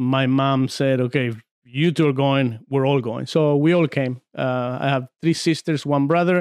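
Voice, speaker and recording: A man with a Spanish accent talks at a moderate pace with hardly any pauses, using a fairly high pitch and fairly even intonation, in a dry, close sound with no echo. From Argentina, San Juan. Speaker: former arm wrestler. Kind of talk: casual podcast interview.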